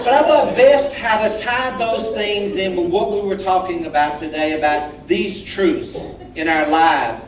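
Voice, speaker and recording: With a Southern US accent, a man talks at a very slow pace in a high pitch with very wide pitch swings, and the room echo is audible. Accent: southern drawl. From US South, Alabama. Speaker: guest speaker. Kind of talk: testimony.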